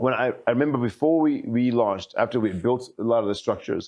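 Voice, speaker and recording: With an American accent, a man talks at a very fast pace using ordinary pitch variation. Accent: sounds American to some, foreign in America. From Zimbabwe. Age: 40s. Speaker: politician. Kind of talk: interview.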